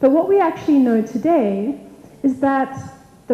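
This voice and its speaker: The intonation is lively. Noticeable background noise and audible room echo come through. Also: woman. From South Africa, Cape Town. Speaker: technology evangelist. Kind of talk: conference talk.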